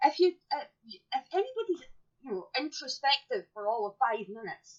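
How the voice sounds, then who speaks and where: With an English accent, a woman talks in an animated tone, her pitch swinging very widely. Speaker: podcast co-host. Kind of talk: casual chat.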